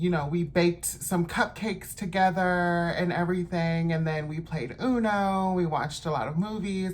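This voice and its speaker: Somewhat breathy and fairly low-pitched, a woman speaks at a moderate pace with fairly even intonation in a room with audible echo. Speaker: lifestyle vlogger. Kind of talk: casual vlog talk while doing makeup.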